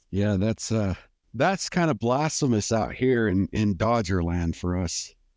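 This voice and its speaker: A plain, everyday voice from a man, fairly low in pitch, fairly slow in pace, with very even loudness. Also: lively intonation, very clean recording, silent background. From Southern California. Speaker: podcast host. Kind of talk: casual chat.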